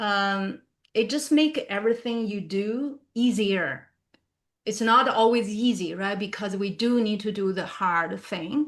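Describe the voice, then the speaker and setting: A woman with a non-native accent, a fairly high pitch, ordinary pitch variation and a fairly slow pace. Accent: non-native, still learning pronunciation. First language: not English. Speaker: professional speaker. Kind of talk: professional talk / webinar discussion.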